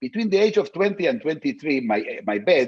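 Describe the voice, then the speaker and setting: The speaker has a non-native accent and a voice with very wide pitch swings. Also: man. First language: not English. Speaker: philosopher. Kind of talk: interview. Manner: halting, many repetitions and fillers.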